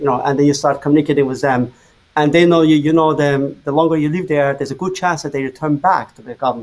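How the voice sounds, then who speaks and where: With an Azerbaijani accent, a man speaks at a very fast pace with a fairly high pitch. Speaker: journalist. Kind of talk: interview. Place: home room.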